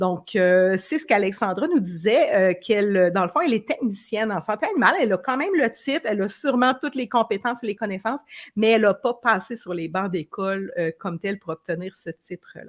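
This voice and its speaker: Fast and with hardly any pauses, a woman speaks at medium pitch with lively intonation in a dry, close recording with no echo. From Quebec. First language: French. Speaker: veterinarian, live stream host. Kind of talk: bilingual live interview. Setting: Facebook live stream. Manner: halting with many fillers.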